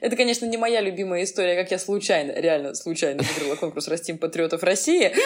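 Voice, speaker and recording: A woman at a medium pitch, talking very fast with hardly any pauses and ordinary pitch variation, over noticeable background noise. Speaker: podcast co-host, historian. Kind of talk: casual chat.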